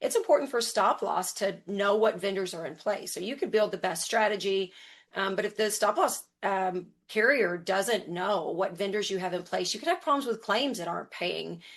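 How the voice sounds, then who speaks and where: A woman's normal speaking voice at medium pitch and a moderate pace, over a quiet background. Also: ordinary pitch variation. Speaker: health plan implementation lead. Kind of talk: webinar presentation.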